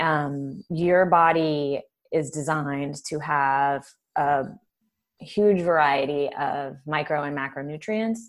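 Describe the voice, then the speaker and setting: Very slowly, a woman speaks in a very deep, low voice. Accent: Californian. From Southern California. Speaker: neuroscientist and food author. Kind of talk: casual interview chat.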